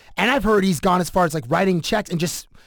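Man with a Canadian accent, high-pitched, ordinary pitch variation, on a very clean recording with a silent background. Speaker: podcast host. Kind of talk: casual chat. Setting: studio.

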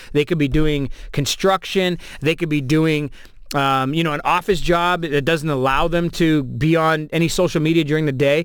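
This man has a Toronto accent and a fairly high pitch with ordinary pitch variation, talking at a moderate pace on a very clean recording with a silent background. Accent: Canadian (Toronto). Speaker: radio host and DJ. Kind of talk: casual interview chat. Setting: studio.

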